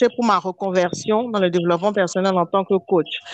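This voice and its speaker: With a normal speaking voice at medium pitch and ordinary pitch variation, a woman is heard in a dry, close sound with no echo. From Benin. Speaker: podcast co-host, life coach. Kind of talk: casual chat.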